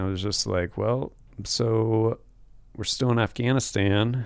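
Against a quiet background, a man speaks at a medium pitch with fairly even intonation. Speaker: firearms instructor and military veteran. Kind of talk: casual chat. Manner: slow.

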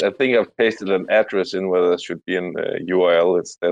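A man's fairly low, fairly even delivery at a moderate pace, an unremarkable speaking voice. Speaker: crypto community member. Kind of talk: casual chat. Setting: online audio room.

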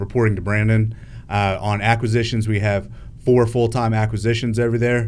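With monotone, flat intonation, a man speaks at a fairly quick pace in a fairly low pitch. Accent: American. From US, Northern Virginia. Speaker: real estate wholesaler. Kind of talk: interview. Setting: live streamed interview.

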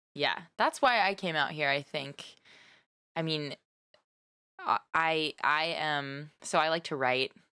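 Her voice is very deep and low for a woman, bright and sharp in tone, with ordinary pitch variation, a very slow pace and long, frequent pauses, all in a dry, close sound with no echo. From US South (Nashville and Texas). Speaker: podcast co-host. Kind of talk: casual chat.

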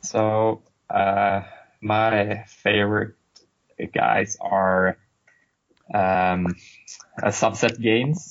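Here a man talks in a Swedish accent at a very slow pace, with long, frequent pauses. His pitch is fairly low, his intonation fairly even and his loudness very even. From Sweden. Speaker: game designer. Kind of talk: casual interview. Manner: halting, many fillers.

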